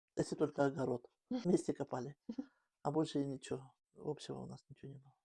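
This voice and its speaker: A woman speaks very fast with a very deep, low pitch, vocal fry and a dark, mellow tone, her loudness swinging widely in a dry, close sound with no echo. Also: ordinary pitch variation. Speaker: grandmother. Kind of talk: interview answer.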